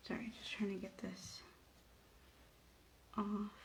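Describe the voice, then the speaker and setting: Audible room echo surrounds a woman at a medium pitch. Her voice is somewhat breathy. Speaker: nail stylist. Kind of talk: tutorial. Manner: soft-spoken; casual, hesitant with fillers.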